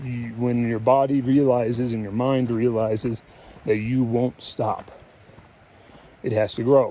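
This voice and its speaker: A man at medium pitch with monotone, flat intonation and long, frequent pauses, over noticeable background noise. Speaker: hiking vlogger. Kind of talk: vlog monologue. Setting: outdoors on a mountain trail. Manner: halting.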